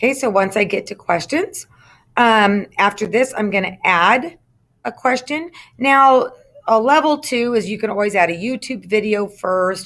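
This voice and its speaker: A woman speaks in a normal speaking voice, fairly high in pitch, at a moderate pace with ordinary pitch variation, in a very clean recording with a silent background. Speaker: instructional technology trainer for teachers. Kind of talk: screen-recorded tutorial. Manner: casual with frequent fillers.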